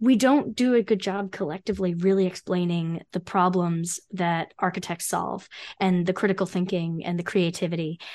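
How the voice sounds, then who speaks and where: A woman with an ordinary speaking voice and an American accent, at a medium pitch and moderate pace, with ordinary pitch variation and a quiet background. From New Jersey, Freehold. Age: 30s. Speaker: architect and career consultant. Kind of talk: interview conversation.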